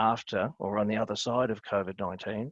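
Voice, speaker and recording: Speaking with an Australian accent, a man talks at a fairly quick pace with a medium pitch and fairly even intonation over a quiet background. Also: dry, close sound with no echo. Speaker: webinar panelist. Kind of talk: webinar presentation. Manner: hesitant, many fillers.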